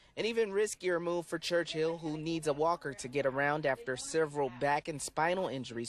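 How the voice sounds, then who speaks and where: In a plain, everyday voice, a man talks at a fairly quick pace with a fairly high pitch and ordinary pitch variation. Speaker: TV news reporter. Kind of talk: TV news reporter package and live shot delivery.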